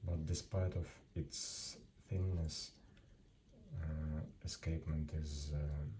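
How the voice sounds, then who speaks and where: Very slow, somewhat breathy speech with a non-native accent, a dark, mellow tone, fairly even intonation, and long, frequent pauses. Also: man, very deep, low pitch for a man. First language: not English. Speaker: antique watch seller. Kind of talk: product presentation. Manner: halting.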